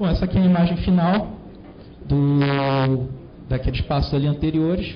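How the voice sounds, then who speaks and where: At a moderate pace, a man speaks at a fairly high pitch with fairly even intonation. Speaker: conference speaker. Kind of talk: technical talk.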